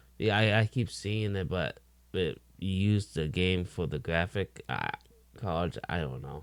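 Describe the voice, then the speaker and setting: With a very deep, low pitch and lively intonation, a man speaks at a fairly slow pace. The recording is very clean, with a silent background. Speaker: gaming reaction streamer. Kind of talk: reaction commentary. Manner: self-described slow talker; halting.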